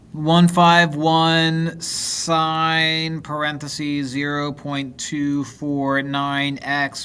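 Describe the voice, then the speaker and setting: A man puts on a robotic character voice, fairly high in pitch, very slow and monotone with flat intonation. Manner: robotic, reading out a formula.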